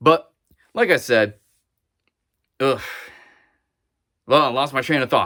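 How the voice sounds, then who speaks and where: A man with a medium pitch and ordinary pitch variation, bright, sharp tone, fairly slow pace and long, frequent pauses. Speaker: YouTuber unboxing cosplay suits. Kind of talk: casual video monologue. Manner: halting, stuttering; hesitant, many fillers.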